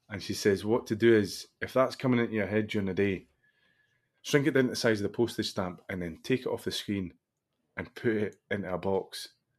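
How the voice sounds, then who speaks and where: In a Scottish accent, a man with a fairly low voice talks fairly quickly with ordinary pitch variation against a quiet background. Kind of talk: casual chat.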